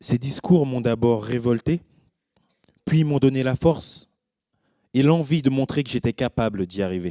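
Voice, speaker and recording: A man speaks at a fairly slow pace with long, frequent pauses, in a medium-pitched, dark, mellow tone. His pitch variation is ordinary, and the sound is dry and close with no echo. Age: 30s. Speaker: cook, educator and professional boxer. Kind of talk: conference talk. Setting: stage with audience.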